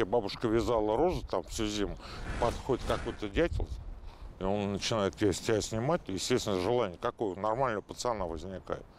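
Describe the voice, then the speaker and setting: Speaking at a fairly quick pace, a man with a fairly low pitch and ordinary pitch variation is heard in a dry recording with no echo and light background noise. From Moscow, Oktyabrskoye Pole; Moscow. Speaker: football fan veteran. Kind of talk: casual storytelling interview. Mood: relaxed, wry. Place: street. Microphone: lapel.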